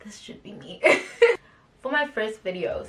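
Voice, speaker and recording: Noticeable background noise accompanies a speaker whose tone is animated. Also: woman. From South Africa, East London. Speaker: YouTuber. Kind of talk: casual vlog talk to camera.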